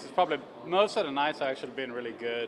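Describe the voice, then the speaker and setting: A man is speaking. He has a non-native accent. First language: not English. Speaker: racing driver. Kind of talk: press interview. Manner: halting.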